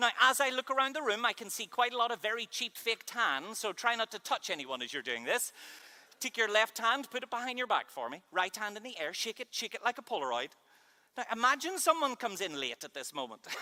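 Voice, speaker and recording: In a Northern Irish accent, a man uses a raised, projected voice with an extremely high pitch and a bright, sharp tone, talking at a fairly quick pace with lively intonation and big swings in loudness, the sound dry and close with no echo. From Northern Ireland. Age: 30s. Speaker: keynote speaker and mind reader. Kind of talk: conference keynote talk. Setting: stage with audience. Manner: animated.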